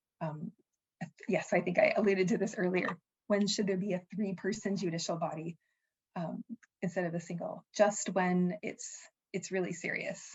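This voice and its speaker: Somewhat breathy, a woman speaks at a medium pitch with ordinary pitch variation and long, frequent pauses. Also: moderate pace. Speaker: sport law presenter. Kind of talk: webinar presentation.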